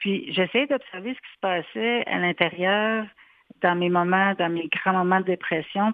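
A woman speaks at a fairly slow pace with medium pitch and ordinary pitch variation. It is an unremarkable speaking voice. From Quebec City. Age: 40s. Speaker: psychoeducator. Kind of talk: radio interview.

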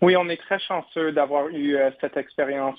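Moving at a fairly quick pace, a man talks with a fairly high pitch. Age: 20s. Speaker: opera tenor singer. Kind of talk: radio interview. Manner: halting.

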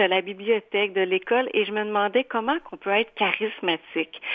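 Fairly quick in pace, a woman speaks in a normal speaking voice at medium pitch. Her pitch varies in an ordinary way. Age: 40s. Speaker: painter and author. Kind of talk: radio interview.

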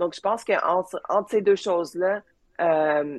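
The sound is dry and close with no echo, carrying a woman's normal speaking voice. Her pitch is fairly low with ordinary variation, at a moderate pace. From Quebec (Joliette), later Manchester, England. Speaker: space engineer. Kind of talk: interview. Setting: video call.

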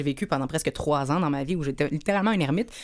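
A woman's animated voice in a Quebec accent, with ordinary pitch variation, on a very clean recording with a silent background. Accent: Québécois French. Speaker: radio host. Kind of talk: casual chat.

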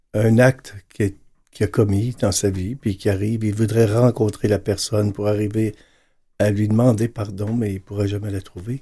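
A man's fairly low, dark, mellow and somewhat breathy voice, flat and monotone at a moderate pace, on a very clean recording with a silent background. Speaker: priest. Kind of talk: panel discussion.

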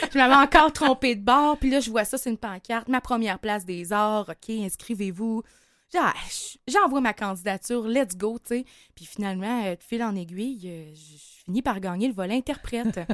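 In a Quebec accent, a woman speaks at a fairly high pitch with big swings in loudness, on a very clean recording with a silent background. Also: ordinary pitch variation, moderate pace, dry, close sound with no echo. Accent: Québécois French. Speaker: singer-songwriter. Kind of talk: interview.

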